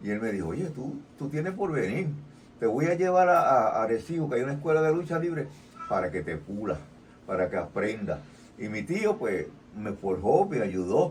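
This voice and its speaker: The speech comes at a moderate pace in a Puerto Rican accent. The pitch swings very widely. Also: man, fairly high pitch for a man. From Puerto Rico. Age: 70s. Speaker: retired pro wrestler. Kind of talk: interview.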